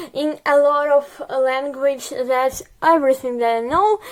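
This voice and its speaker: With a Ukrainian accent, a woman speaks at a high pitch and ordinary pitch variation. Background noise is noticeable. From Ukraine. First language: Russian. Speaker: vlogger. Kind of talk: casual video diary. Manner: halting, many fillers.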